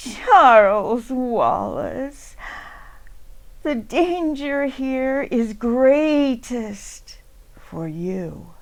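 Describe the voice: A woman's put-on character voice, creaky and high-pitched, very slow, with lively intonation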